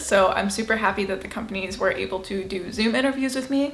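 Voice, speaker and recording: A woman's fairly high-pitched voice with ordinary pitch variation, music playing in the background. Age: 20s. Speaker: lifestyle vlogger. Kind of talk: casual talk to camera.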